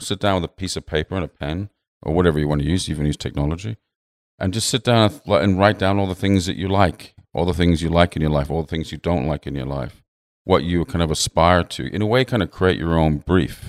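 A man with an English accent, very deep and low in pitch, at a very fast pace with lively intonation, in a dry, close sound with no echo on a very clean recording with a silent background. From England. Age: 50s. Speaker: designer. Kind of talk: casual interview. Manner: halting.

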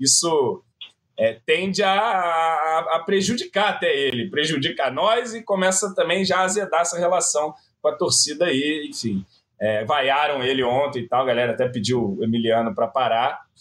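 With a plain, everyday voice, a man talks at a moderate pace, his pitch fairly high and his intonation lively. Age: 30s. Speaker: football fan commentator. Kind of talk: casual chat.

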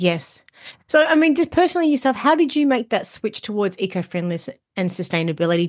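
A woman with an Australian accent speaks at a very fast pace in a fairly high pitch, with very wide pitch swings. Her tone is warm and upbeat, and the background is quiet. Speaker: podcast host. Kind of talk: podcast interview, with ad read. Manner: warm, upbeat.

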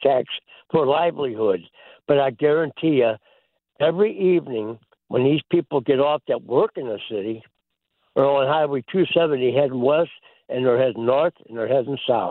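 A man with a St. Louis accent speaks at a moderate pace. His pitch is fairly high, with ordinary variation. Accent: St. Louis American. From Saint Louis, Missouri. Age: 80s. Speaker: caller. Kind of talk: casual call-in chat. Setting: phone call.

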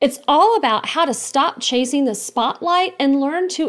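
Against a silent background in a very clean recording, a woman talks at a fairly slow pace. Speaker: podcast co-host. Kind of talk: scripted intro and outro.

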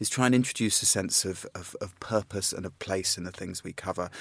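A plain, everyday voice, this man's is fairly low in pitch with ordinary pitch variation, heard at a fairly quick pace in a very clean recording with a silent background. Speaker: magazine editor and travel expert. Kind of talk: relaxed radio conversation, answering listener questions.

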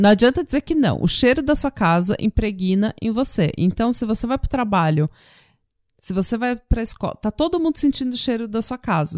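A woman speaks at a moderate pace with fairly high pitch and very wide pitch swings. The recording is very clean and dry, close with no echo, against a silent background. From Brazil. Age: 30s. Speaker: true crime podcast host. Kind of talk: casual chat.

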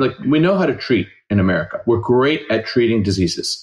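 The man's pitch sits in the medium range. He talks at a very fast pace. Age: 40s. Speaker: family doctor. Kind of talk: interview.

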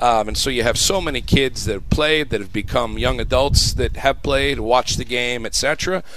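There is noticeable background noise behind this man. He keeps a moderate pace with hardly any pauses. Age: 40s. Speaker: college soccer coach. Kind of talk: radio interview. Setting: live broadcast on campus. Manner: hesitant, many ums.

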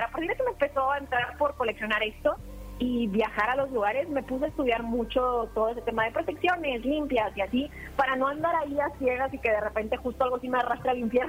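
A woman talks at a fairly quick pace in a high pitch. Noticeable background noise runs underneath. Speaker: paranormal content creator. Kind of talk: interview.

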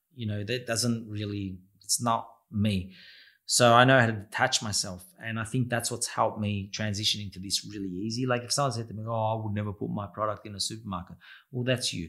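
A man with an Australian accent speaks at a fairly quick pace and fairly low pitch, his tone bright and sharp and his intonation fairly even, in a very clean recording with a silent background. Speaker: restaurant owner and pizza chef. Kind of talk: interview.

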